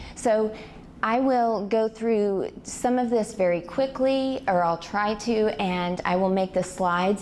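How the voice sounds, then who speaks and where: A woman speaks at a very slow pace with ordinary pitch variation. Audible room echo surrounds her voice. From Arkansas (Fort Smith). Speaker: public speaker, activist. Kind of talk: lecture-style presentation. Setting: stage with audience, PA system.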